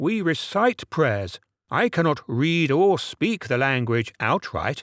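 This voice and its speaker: In a put-on character voice, a fairly high-pitched man swings his pitch very widely at a fairly slow pace, with very even loudness, on a very clean recording with a silent background and a dry, close sound with no echo. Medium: read story. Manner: curt, blunt.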